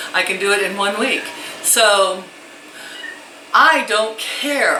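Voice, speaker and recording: Against noticeable background noise, a woman speaks very slowly at a medium pitch with lively intonation. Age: 60s. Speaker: grandmother vlogger. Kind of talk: casual talk to camera.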